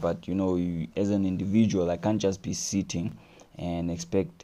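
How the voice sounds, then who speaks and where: A fairly slow pace, ordinary pitch variation and a dark, mellow tone. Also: man. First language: French. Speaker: live streamer. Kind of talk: casual live-stream chat. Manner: casual, with hesitations and repetitions.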